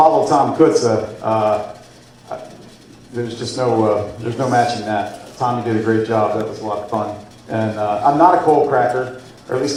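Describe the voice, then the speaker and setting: A man speaks with an American accent and ordinary pitch variation. Background noise is noticeable, and room echo is audible. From central Pennsylvania. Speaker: guest speaker. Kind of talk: after-dinner speech. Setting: banquet room with audience.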